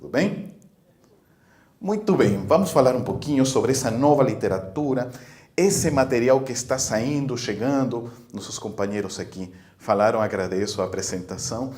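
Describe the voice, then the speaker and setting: A man with a non-native accent, medium pitch and a somewhat breathy voice, lively intonation, big swings in loudness, a moderate pace and audible room echo. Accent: foreign accent in Portuguese. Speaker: spiritist speaker and author. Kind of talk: interview; lecture. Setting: book fair in a shopping mall.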